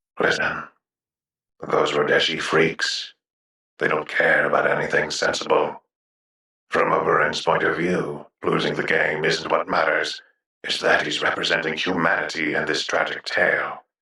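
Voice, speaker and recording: A man does a put-on character voice at a moderate pace, with a slight echo. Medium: audio drama. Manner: cynical, worldly, blunt.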